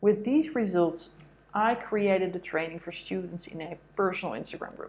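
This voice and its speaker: A woman speaks in an ordinary speaking voice at medium pitch and a moderate pace, her intonation lively and her loudness swinging widely. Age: 40s. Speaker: life coach and sports marketer. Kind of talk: motivational monologue.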